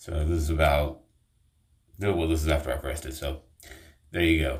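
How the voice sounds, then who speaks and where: At a moderate pace, a man speaks with vocal fry in a very deep, low pitch and monotone, flat intonation. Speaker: online commentator. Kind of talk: video commentary rant. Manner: emphatic.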